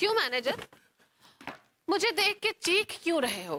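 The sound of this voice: In a put-on character voice at an extremely high pitch, a woman speaks at a fairly slow pace with big pitch swings and a bright, sharp tone, the sound dry and close with no echo.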